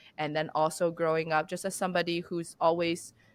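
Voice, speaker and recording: Very clean and set against a silent background, this recording features a woman with a Chinese accent. Her pitch is fairly low. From China. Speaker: business founder and CEO. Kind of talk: podcast interview.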